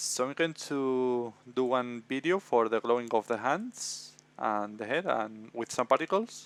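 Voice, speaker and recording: A man with a Spanish accent speaks at a fairly slow pace with ordinary pitch variation. The recording is very clean and dry, close with no echo and a silent background. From Spain, Madrid. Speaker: visual effects tutor. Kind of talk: tutorial. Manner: hesitant, many fillers.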